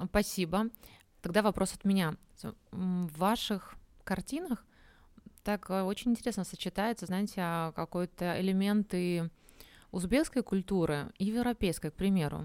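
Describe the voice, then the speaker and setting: Long, frequent pauses mark a woman's fairly slow speech at medium pitch with ordinary pitch variation, the sound dry and close with no echo. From Belarus, Minsk. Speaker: podcast host. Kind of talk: interview. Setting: live broadcast.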